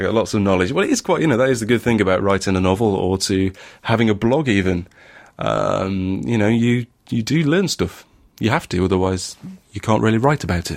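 Recorded very cleanly against a silent background, a man speaks at a fairly low pitch with a slight northern English accent. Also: ordinary pitch variation. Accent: northern English, mild. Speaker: podcast host. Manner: hesitant, many fillers and restarts.

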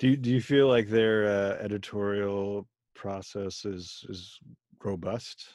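This man has an unremarkable speaking voice with a fairly low pitch and fairly even intonation. He talks at a fairly slow pace against a quiet background. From US (immigrant from Germany/India family). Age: 40s. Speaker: podcast host. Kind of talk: interview conversation.

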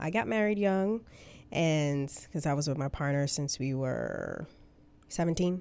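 Pausing long and often at a fairly slow pace, a woman with an American accent speaks in a very deep, low voice with a dark, mellow tone and ordinary pitch variation, on a very clean recording with a silent background. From New York City (Bronx), Dominican family. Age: 20s. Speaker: registered nurse. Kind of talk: interview. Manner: bubbly.

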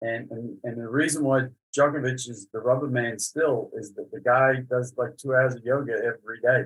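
Somewhat breathy, a man talks in a monotone, flat intonation with big swings in loudness. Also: medium pitch for a man, moderate pace. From Australia. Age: 50s. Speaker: tennis coach. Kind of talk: casual interview chat.

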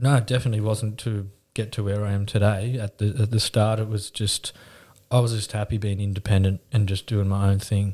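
In a very clean recording with a silent background, a man with an Australian accent speaks at a fairly low pitch in a somewhat breathy, dark, mellow tone with monotone, flat intonation. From Newcastle, New South Wales, Australia. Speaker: painting company owner. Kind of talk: interview.

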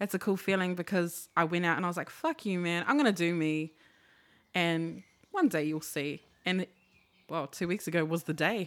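A woman speaks with a New Zealand accent at a moderate pace, leaving long, frequent pauses. Her intonation is fairly even, on a very clean recording with a silent background. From New Zealand, Maori/Pacific heritage. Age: 20s. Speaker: vintage clothing seller. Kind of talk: casual chat.

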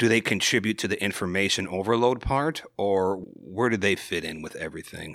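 A man with a plain, everyday voice and an American accent speaks fairly quickly at a fairly low pitch with ordinary pitch variation, on a very clean recording with a silent background. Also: hardly any pauses. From Wisconsin. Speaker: podcast guest. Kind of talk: casual chat.

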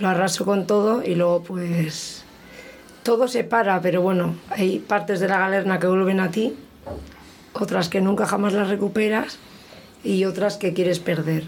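The speech moves at a fairly slow pace with long, frequent pauses, fairly even intonation and very even loudness. Noticeable background noise and audible room echo are present. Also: woman, medium pitch for a woman. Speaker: poet. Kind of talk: casual chat.

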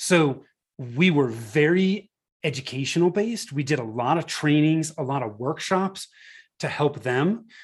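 A man with an American accent talks at a fairly slow pace in a fairly high, somewhat breathy voice. The background is quiet. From Northern California. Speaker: marketing agency founder. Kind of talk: interview.

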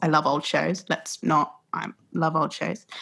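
Some breathiness runs through this voice. It belongs to a woman. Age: 20s. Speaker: theatre producer. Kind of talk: interview conversation.

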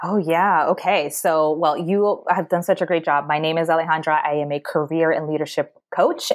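A woman with a Mid-Atlantic accent speaks in a fairly low pitch, her intonation fairly even. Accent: American, Mid-Atlantic. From US Mid-Atlantic, Maryland. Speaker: career coach. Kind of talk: podcast interview.

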